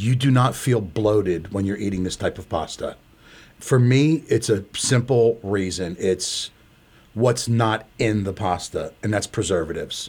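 A man's somewhat breathy, fairly low voice with ordinary pitch variation at a fairly slow pace, on a very clean recording with a silent background. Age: 60s. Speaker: pasta maker and small business owner. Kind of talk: interview.

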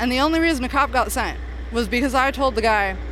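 Talking very fast with an American accent, a woman is heard amid noticeable background noise and audible room echo. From Cave Junction, southern Oregon. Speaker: community advocate, founder of missing person project. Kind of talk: interview. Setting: outdoors at a rally.

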